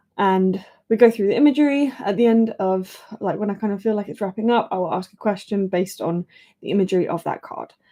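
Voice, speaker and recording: A woman with an English accent talks very fast at a medium pitch, her pitch varying an ordinary amount. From England. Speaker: oracle card reader, live streamer. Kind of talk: live-stream oracle card reading. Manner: casual, chatty with fillers.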